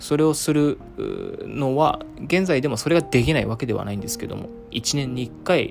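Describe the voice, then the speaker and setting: Amid noticeable background noise, a man with a fairly high pitch and ordinary pitch variation speaks at a moderate pace, his loudness swinging widely. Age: 20s. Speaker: podcast host. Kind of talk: casual solo monologue.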